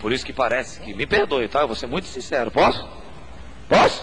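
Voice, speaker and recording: A man speaks at medium pitch and a fairly quick pace. Audible room echo and noticeable background noise surround him. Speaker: pastor. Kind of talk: sermon. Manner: animated.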